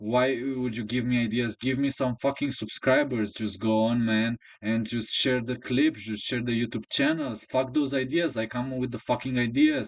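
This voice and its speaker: A man with a Romanian accent, medium pitch, fairly even intonation and a moderate pace, against a quiet background. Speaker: chess coach and YouTuber. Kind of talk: casual monologue. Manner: halting.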